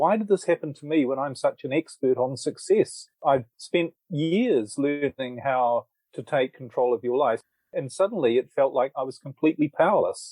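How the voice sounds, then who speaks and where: A man with a New Zealand accent speaks at a fairly high pitch and a moderate pace, with ordinary pitch variation, a dark, mellow tone and a dry, close sound with no echo. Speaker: author and relationship coach. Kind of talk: interview.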